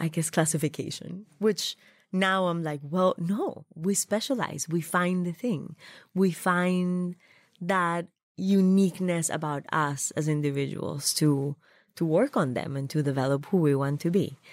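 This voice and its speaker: Fairly slow, fairly low-pitched speech from a woman with a slight Colombian accent and ordinary pitch variation. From Colombia, Bogota. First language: Spanish. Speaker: food stylist. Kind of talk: interview conversation.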